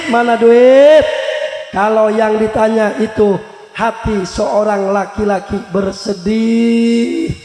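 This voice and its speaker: Delivered at a very slow pace with fairly even intonation, the speech sits over noticeable background noise. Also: man. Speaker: Islamic preacher. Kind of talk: religious sermon to live audience. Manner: humorous.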